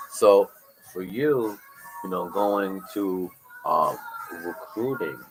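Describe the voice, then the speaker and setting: A man with an American accent speaks at a very slow pace over music in the background. He leaves long, frequent pauses. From New York. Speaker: podcast host, mentor. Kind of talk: casual interview. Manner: conversational.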